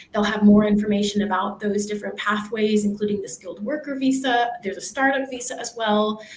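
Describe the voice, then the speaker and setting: A woman in an American accent, fairly high in pitch, fairly even in intonation, at a fairly quick pace with hardly any pauses and big swings in loudness, over noticeable background noise. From United States. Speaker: university staff, former international student. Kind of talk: panel Q&A.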